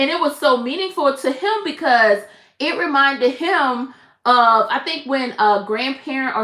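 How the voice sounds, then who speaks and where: An animated woman with an American accent, high-pitched and raised, projected voice, bright, sharp tone and lively intonation. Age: 50s. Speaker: crochet content creator. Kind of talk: casual live-stream chat.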